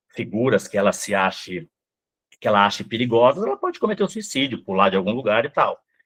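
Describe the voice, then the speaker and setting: Talking at a very fast pace, a man uses very wide pitch swings. His pitch sits in the medium range. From Brazil, Rondônia (born Mato Grosso do Sul). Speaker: psychoanalyst. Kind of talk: interview.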